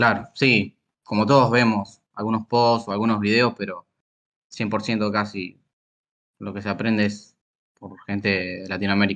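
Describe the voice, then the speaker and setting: A man speaks at a fairly low pitch and moderate pace, his intonation monotone and flat. Long, frequent pauses break up his speech against a quiet background. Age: 20s. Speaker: bug bounty hunter; guest. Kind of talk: interview. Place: home room. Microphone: video call.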